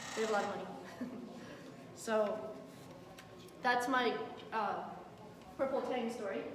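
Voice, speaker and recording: The tone is passionate, with fairly even intonation at a moderate pace. Noticeable background noise can be heard. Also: woman, fairly high pitch for a woman. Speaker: aquarium store owner, aquaculture speaker. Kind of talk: live conference talk. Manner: projected, passionate.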